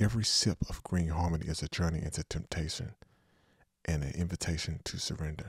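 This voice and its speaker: A man with a very deep, low pitch, somewhat breathy and at a fairly quick pace, on a very clean recording with a silent background and a dry, close sound with no echo. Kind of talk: seductive commercial voice-over, parody-style ad read. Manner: smooth, polished, intimate ad-announcer delivery.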